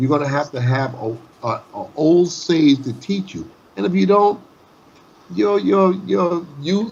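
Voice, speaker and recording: A man's fairly high, somewhat breathy voice at a fairly slow pace, with very wide pitch swings. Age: 60s. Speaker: boxing trainer. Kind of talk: casual chat. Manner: animated.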